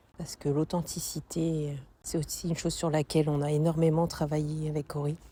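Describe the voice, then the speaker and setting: A woman talks at a fairly quick pace in a very deep, low pitch with a dark, mellow, somewhat breathy tone. Her intonation is monotone and flat, and the recording is very clean with a silent background. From northern France. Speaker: coaching client. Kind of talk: testimony. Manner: hesitant, many fillers.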